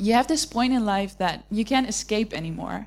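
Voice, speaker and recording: On a very clean recording with a silent background, a woman with an unremarkable speaking voice talks at a fairly slow pace with fairly even intonation. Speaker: university student. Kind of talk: testimony. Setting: church.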